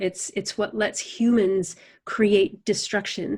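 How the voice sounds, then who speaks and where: The tone is calm and the intonation fairly even. Delivery comes at a very slow pace. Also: woman. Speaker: animal communicator and facilitator. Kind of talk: podcast interview answer.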